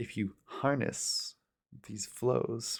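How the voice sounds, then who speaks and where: A man's calm tone at a fairly low pitch with fairly even intonation, in a very clean recording with a silent background. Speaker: ASMR channel host. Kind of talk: ASMR soft-spoken reflective talk. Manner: soft-spoken, calm.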